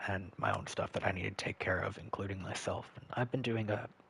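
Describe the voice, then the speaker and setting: Quiet vocal fry at a fairly quick pace. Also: man. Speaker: gaming streamer. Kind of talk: live gameplay stream chat. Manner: quiet, hard to get loud; halting, many fillers.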